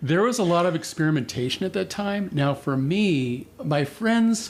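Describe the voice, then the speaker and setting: Against noticeable background noise, a man with an American accent speaks with lively intonation. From California. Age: 60s. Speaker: massage therapy instructor. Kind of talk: casual interview. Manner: laid-back.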